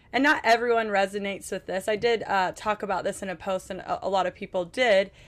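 Recorded very cleanly against a silent background, a woman talks at a fairly quick pace in a normal speaking voice with a medium pitch. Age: 30s. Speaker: mom influencer. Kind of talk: casual chat. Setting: on a cruise ship.

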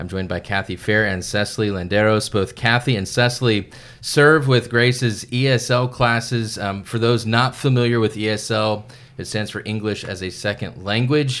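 A man talks in a plain, everyday voice at medium pitch, a moderate pace and fairly even intonation. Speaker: church podcast host. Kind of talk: interview.

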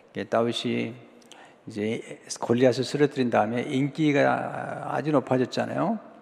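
A man talks fairly slowly with noticeable noise behind him. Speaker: pastor. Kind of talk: sermon. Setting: church. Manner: imprecise pronunciation of some sounds.

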